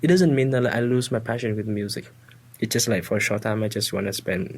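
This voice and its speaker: A fairly quick delivery with a Vietnamese accent. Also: man. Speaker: student guest. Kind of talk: casual chat. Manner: halting.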